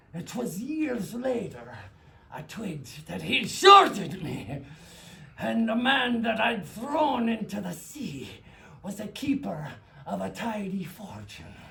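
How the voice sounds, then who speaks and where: Putting on a character voice, a man speaks fairly slowly at a high pitch. His voice is raised and projected, with lively intonation. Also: big swings in loudness. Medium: stage play. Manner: gruff, blunt.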